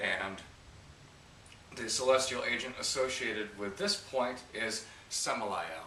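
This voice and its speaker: Speaking fairly slowly with long, frequent pauses, a man with an American accent uses a medium pitch and ordinary pitch variation, with audible room echo and noticeable background noise. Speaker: esoteric teacher. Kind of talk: tutorial. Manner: hesitant, many fillers.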